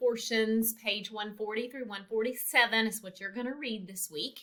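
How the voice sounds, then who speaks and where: A woman speaks in a fairly high voice. Her tone is bright and sharp. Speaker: college instructor. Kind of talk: recorded lecture. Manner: casual, many filler ums.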